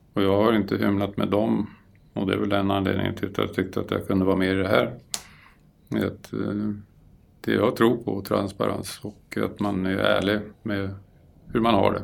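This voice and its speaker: Long, frequent pauses break up this man's moderate pace. His fairly low voice has vocal fry and fairly even intonation. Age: 60s. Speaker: property caretaker. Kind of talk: interview.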